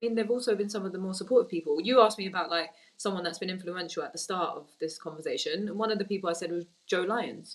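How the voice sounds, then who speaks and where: A woman speaks very fast in a London accent. Her voice has medium pitch and ordinary pitch variation. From Tottenham, North London; Turkish Cypriot family. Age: young. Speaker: women's football executive. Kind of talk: interview.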